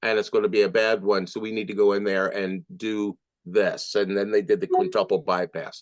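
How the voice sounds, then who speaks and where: A man with an American accent talks at a moderate pace with lively intonation against a quiet background. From New Jersey / Philadelphia area. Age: 60s. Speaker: musician. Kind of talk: interview testimony. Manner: hesitant, many fillers; animated.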